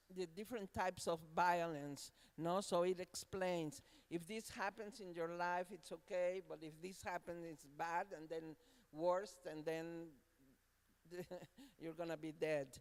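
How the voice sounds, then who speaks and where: Delivered at a fairly slow pace, the speech comes with a Spanish accent. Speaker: university academic. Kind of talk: panel discussion. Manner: halting.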